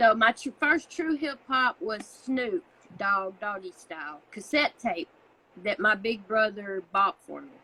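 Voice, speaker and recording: A woman with a Southern US accent, fairly high in pitch, fairly slow, with very wide pitch swings and big swings in loudness, in a dry, close sound with no echo. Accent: southern US country. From US South (Alabama, Tennessee). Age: 30s. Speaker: music reaction youtuber. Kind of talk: casual interview.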